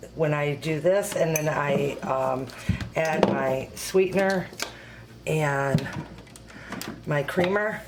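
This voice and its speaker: A woman speaks quietly in a very deep, low voice with ordinary pitch variation, over noticeable background noise and audible room echo. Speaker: home cooking video host and product consultant. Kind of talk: tutorial. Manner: quiet, speaking low; hesitant, many fillers.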